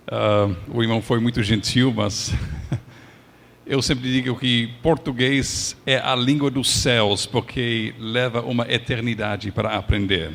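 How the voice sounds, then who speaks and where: Speaking at a very slow pace with an English accent, a man keeps a medium pitch, fairly even intonation and very even loudness. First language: English (speaking Portuguese). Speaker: pastor. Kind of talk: sermon.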